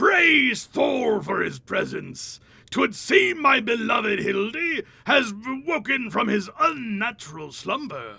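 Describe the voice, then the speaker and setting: A man shouts in a put-on character voice at an extremely high pitch. He goes at a fairly slow pace. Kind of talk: antiquated, theatrical. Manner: pompous, archaic.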